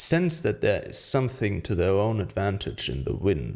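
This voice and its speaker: On a very clean recording with a silent background, a man speaks at a fairly low pitch with vocal fry. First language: German. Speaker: amateur audiobook reader. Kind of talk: reading aloud.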